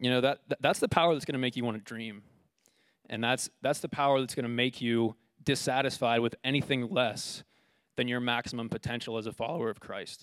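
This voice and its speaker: A man speaks at medium pitch with fairly even intonation, in an ordinary speaking voice. The sound is dry and close, with no echo. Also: very clean recording, silent background. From United States. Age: 20s. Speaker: preacher. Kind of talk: sermon.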